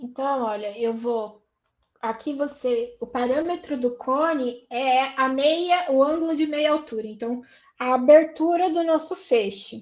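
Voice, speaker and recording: Speaking at a fairly slow pace, a woman with a high pitch shows ordinary pitch variation. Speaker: university lecturer. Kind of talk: online lecture.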